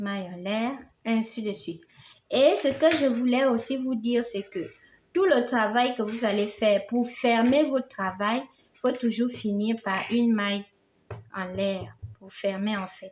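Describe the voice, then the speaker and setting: A woman speaks at a very slow pace with a non-native accent, long, frequent pauses and big swings in loudness. Her warm voice sits fairly high, with ordinary pitch variation. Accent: non-native French, self-described. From Gabon. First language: Fang (speaking French). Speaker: crochet teacher. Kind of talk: tutorial. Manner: warm, encouraging.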